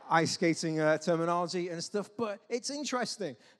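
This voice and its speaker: A man with an English accent speaks using ordinary pitch variation. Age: 40s. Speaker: pastor. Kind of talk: sermon.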